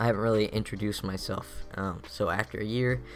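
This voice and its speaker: A man speaks at a fairly low pitch and a moderate pace, with ordinary pitch variation. The recording is very clean, with a silent background. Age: 20s. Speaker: gaming YouTuber, college student. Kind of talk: casual vlog talk over gameplay. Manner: casual with frequent fillers.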